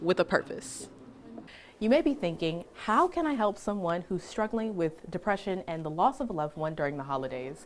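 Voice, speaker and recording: A woman with an American accent, medium pitch for a woman, an ordinary speaking voice, and a fairly quick pace. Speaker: TV news reporter and anchor. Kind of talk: broadcast news reporter narration.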